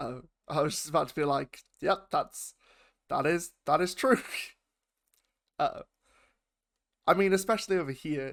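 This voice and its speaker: A man with a British accent speaks in a high voice with lively intonation and long, frequent pauses, on a very clean recording with a silent background. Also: moderate pace. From United Kingdom. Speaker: YouTube reaction host. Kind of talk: casual talk to camera.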